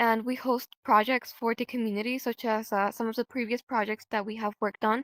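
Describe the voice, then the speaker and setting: A woman with a fairly high pitch talks at a fairly quick pace in a monotone, flat delivery, recorded dry and close with no echo, very clean and with a silent background. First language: Spanish. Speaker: role-play group leader. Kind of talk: interview. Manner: hesitant, many fillers.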